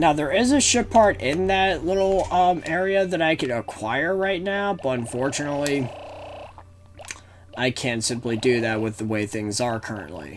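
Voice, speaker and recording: A man at a fairly high pitch with very wide pitch swings, moderate pace, noticeable background noise. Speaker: gaming video commentator. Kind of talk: gameplay commentary. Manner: halting, with repeated words.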